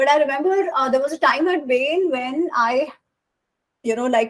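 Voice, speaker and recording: Speaking in a Gujarati accent, a woman uses a high pitch and lively intonation at a moderate pace. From India. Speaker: author. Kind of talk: interview conversation. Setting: live podcast recording.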